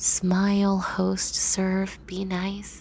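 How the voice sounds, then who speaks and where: A woman's gentle, medium-pitched voice amid noticeable background noise. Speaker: ASMR roleplay performer. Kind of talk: ASMR comfort roleplay script reading. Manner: soft-spoken, gentle, reassuring.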